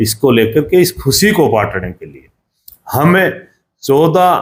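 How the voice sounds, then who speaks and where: Very wide pitch swings in a man's fairly high-pitched voice. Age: 60s. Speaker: former state legislator. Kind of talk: interview.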